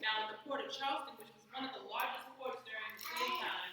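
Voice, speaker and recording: Her bright, sharp tone and fairly high pitch carry at a fairly quick pace as the woman speaks. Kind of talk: informative class speech.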